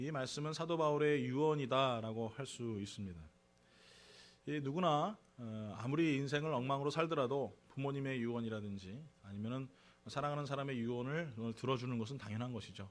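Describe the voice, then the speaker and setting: A man at medium pitch, at a fairly quick pace with ordinary pitch variation, with audible room echo. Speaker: pastor. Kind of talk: sermon. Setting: church.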